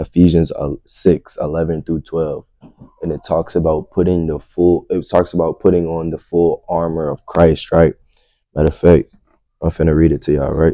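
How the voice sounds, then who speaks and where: The delivery moves at a moderate pace. The intonation stays monotone and flat. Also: man, very deep, low pitch for a man. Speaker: podcast host. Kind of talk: casual religious podcast monologue. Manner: stuttering at times.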